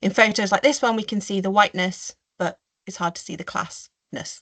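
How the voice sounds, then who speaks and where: The pace is fairly quick and the intonation fairly even. The background is quiet. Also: woman. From Staffordshire, English Midlands. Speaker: marine biologist and conservationist; webinar panelist. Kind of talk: webinar talk. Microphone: video call.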